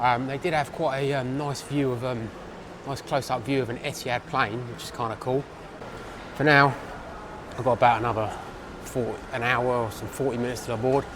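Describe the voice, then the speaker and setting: A man with an English accent speaks with fairly even intonation and long, frequent pauses over noticeable background noise. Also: medium pitch for a man, fairly quick pace. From England. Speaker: travel vlogger. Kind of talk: vlog narration. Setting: airport lounge. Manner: hesitant, many fillers. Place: station. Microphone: phone near.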